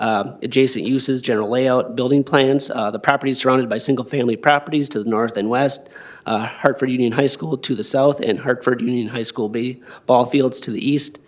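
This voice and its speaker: A man speaks at a medium pitch with fairly even intonation. His pace is fairly quick. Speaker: city planner. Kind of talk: staff report at public meeting. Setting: city plan commission meeting. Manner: fast. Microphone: too far from the mic.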